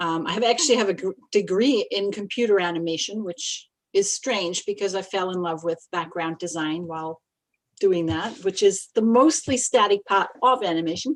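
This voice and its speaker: A woman with an American accent talks at a moderate pace and medium pitch, with ordinary pitch variation. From Australia, outside Melbourne. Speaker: illustrator. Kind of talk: interview. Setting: live stream. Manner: hesitant, many fillers.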